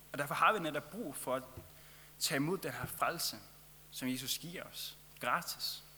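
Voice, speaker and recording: A man with a Faroese accent, fairly high in pitch, bright and sharp in tone, at a fairly slow pace with long, frequent pauses and ordinary pitch variation. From Faroe Islands. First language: Faroese (speaking Danish). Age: 20s. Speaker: travelling lay preacher. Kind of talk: sermon.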